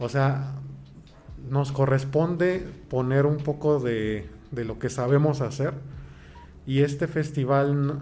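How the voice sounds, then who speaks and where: A man speaks with a fairly high pitch and a dark, mellow tone that is somewhat breathy. His intonation is fairly even, and room echo is audible. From Mexico, Toluca. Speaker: pianist and choir director. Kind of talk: interview.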